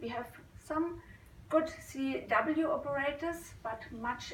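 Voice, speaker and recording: A woman with a non-native accent speaks at a fairly slow pace. Audible room echo and noticeable background noise surround her voice. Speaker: amateur radio operator. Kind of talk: conference talk. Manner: halting.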